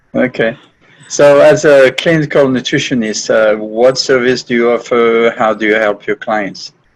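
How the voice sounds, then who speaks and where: This man talks at a moderate pace. He has a French accent. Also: medium pitch for a man, ordinary pitch variation. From France. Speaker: podcast host. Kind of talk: interview.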